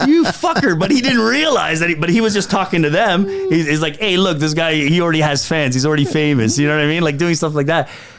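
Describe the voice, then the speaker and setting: Amid noticeable background noise and audible room echo, a man with a Canadian accent talks very fast at a high pitch, animated and with lively intonation, hardly pausing. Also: very even loudness. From Canada, Toronto. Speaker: comedian. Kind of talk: casual chat. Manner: loud.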